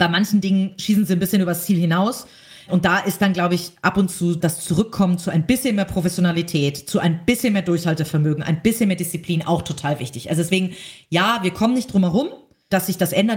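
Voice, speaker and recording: Speaking at a very fast pace, a woman has a fairly low pitch and ordinary pitch variation. Her voice is somewhat breathy. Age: 30s. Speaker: entrepreneur and magazine publisher. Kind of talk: interview.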